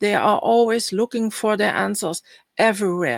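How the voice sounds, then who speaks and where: A woman speaks with a Dutch accent at a medium pitch, with ordinary pitch variation. The sound is dry and close, with no echo. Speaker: spiritual healer and astrology speaker. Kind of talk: online summit presentation.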